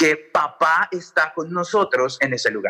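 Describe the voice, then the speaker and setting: Raised and projected, a man's voice with a bright, sharp tone moves at a fairly slow pace with ordinary pitch variation. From Colombia. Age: 30s. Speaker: pastor and electronic music DJ. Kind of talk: radio sermon-style talk.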